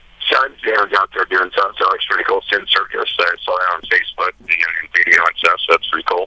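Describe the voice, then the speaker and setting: Noticeable background noise runs under the recording. A man speaks at a very fast pace with hardly any pauses. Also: dry, close sound with no echo. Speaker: metal guitarist. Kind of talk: casual chat. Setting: phone call. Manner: halting.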